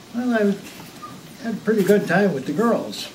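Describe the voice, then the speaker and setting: The pace is fairly slow. Noticeable background noise and audible room echo are present. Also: man. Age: 80s+. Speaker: birthday celebrant giving a speech. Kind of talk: birthday speech to family. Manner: halting, with repeated words.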